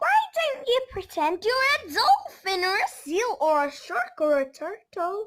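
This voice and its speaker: A woman uses a put-on character voice at an extremely high pitch. She goes at a fairly slow pace with hardly any pauses. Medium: read story. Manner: upbeat, encouraging.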